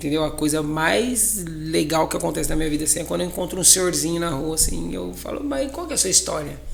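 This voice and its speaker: Noticeable background noise and audible room echo surround the recording. A man talks at a very fast pace. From Brazil, São Paulo state (Ribeirão Preto). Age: 30s. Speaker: magician and circus entrepreneur. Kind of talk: podcast interview.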